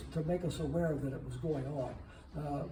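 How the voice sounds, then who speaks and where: Through noticeable background noise and audible room echo, a man talks at a fairly high pitch. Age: 80s+. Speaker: former counterculture figure giving a talk. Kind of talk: Q&A after a talk. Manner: halting, many filler 'uh's.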